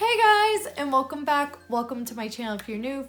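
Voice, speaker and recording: A woman's animated tone with an American accent at a fairly quick pace, over noticeable background noise. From United States. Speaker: vlogger. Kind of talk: casual vlog monologue. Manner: chatty, animated.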